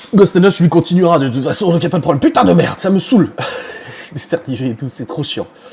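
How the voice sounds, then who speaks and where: Loud and lively in intonation, a man speaks at a high pitch and a fairly quick pace over noticeable background noise. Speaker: vlogger. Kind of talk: casual vlog talk to camera.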